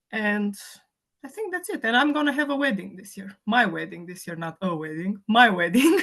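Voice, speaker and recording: A Romanian accent at a moderate pace, with very wide pitch swings and big swings in loudness. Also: woman, medium pitch for a woman. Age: 30s. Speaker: fitness client. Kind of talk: casual chat.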